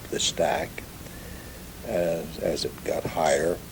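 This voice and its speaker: A man with an American accent talks against noticeable background noise. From Ellensburg area, Kittitas County, Washington, USA. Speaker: ranch-raised oral historian. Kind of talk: oral history recollection.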